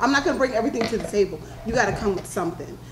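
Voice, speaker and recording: A loud voice with an American accent and ordinary pitch variation comes through noticeable background noise and audible room echo. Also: woman. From New York. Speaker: panelist. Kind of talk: panel discussion.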